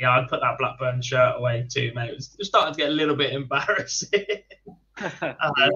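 A man's medium-pitched voice, bright and sharp with a slightly husky edge, ordinary pitch variation and a fairly quick pace.

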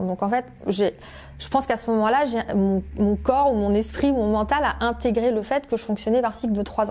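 Keeping a moderate pace, a woman speaks at a fairly high pitch with ordinary pitch variation. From France (Paris area, La Rochelle). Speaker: career change coach. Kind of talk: interview testimony. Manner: hesitant, many fillers.

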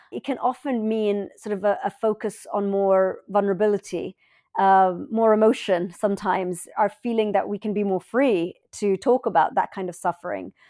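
With hardly any pauses, a woman of medium pitch and a dark, mellow tone speaks at a moderate pace with ordinary pitch variation, in a dry, close sound with no echo on a very clean recording with a silent background. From London, England. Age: 40s. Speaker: human rights advocate, former war correspondent. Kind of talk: interview.

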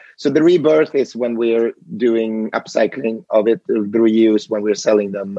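A man with a Swedish accent speaks at a medium pitch. His tone is dark and mellow, and the sound is dry and close with no echo. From western Sweden, near Gothenburg. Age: 40s. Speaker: fashion company CEO. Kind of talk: interview.

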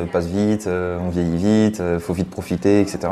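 Over noticeable background noise, a man talks in a very deep, low pitch with fairly even intonation. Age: 20s. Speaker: triathlete and social media influencer. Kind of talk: casual interview.

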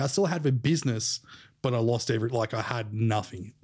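A man with an Australian accent speaks at a fairly quick pace in a dark, mellow tone. The recording is very clean, with a silent background. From Australia, Sydney. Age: 30s. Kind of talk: casual interview chat.

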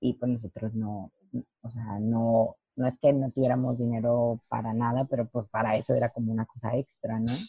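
A woman's very deep, low voice, monotone and flat, at a moderate pace. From Mexico, Lerdo, Durango. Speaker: professional dancer and dance teacher. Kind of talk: interview.

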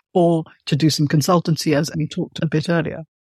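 This woman has an unremarkable speaking voice, fairly low in pitch, moving at a fairly quick pace. The recording is very clean with a silent background and a dry, close sound with no echo. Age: 50s. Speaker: podcast host and writer. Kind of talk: interview conversation.

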